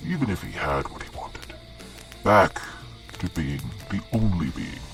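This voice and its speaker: A man performs a put-on character voice at a fairly slow pace, with clear music in the background. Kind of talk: mythic storytelling. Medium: actual play. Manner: solemn storytelling with wry asides.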